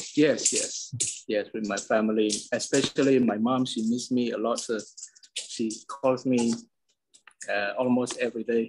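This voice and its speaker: A man with a Medan accent speaks at a medium pitch in a monotone, flat intonation. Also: moderate pace. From Indonesia, Medan. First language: Medan Hokkien. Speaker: interviewee. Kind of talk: interview. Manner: halting.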